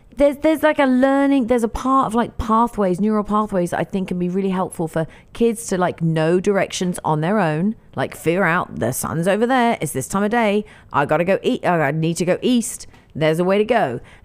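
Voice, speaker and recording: On a very clean recording with a silent background, a woman with an East Anglian accent talks at a fairly quick pace, her medium pitch swinging very widely. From England, Norwich. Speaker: podcast co-host. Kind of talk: casual chat.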